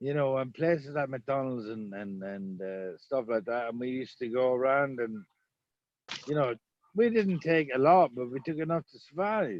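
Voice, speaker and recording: A man of medium pitch with lively intonation at a moderate pace. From Ireland. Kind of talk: casual chat.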